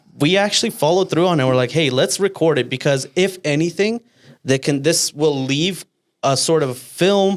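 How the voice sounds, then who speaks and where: An animated tone at a moderate pace, with very even loudness and ordinary pitch variation. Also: man, fairly high pitch for a man. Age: 20s. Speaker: podcast co-host. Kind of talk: casual chat.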